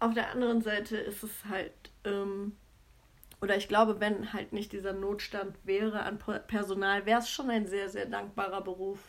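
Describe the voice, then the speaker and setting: Her intonation is monotone and flat, and this woman's pitch stays medium. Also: moderate pace. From Germany, Cologne. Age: 30s. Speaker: podcast co-host, nurse. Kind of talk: casual chat.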